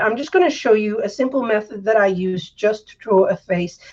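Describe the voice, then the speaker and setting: A woman speaks at a fairly quick pace in a fairly high pitch. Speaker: art tutor. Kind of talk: live drawing tutorial. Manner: monotone.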